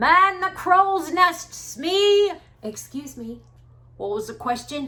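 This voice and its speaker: A woman speaks in a put-on character voice, gruff and at an extremely high pitch. Her pace is very slow. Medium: solo performance. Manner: grumpy, gruff.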